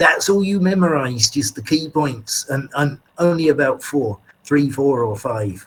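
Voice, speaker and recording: This man's fairly high, somewhat breathy voice moves fairly slowly with lively intonation and hardly any pauses. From England, East Anglia (Colchester, North Essex). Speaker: English teacher. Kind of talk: lecture. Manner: talkative, repetitive.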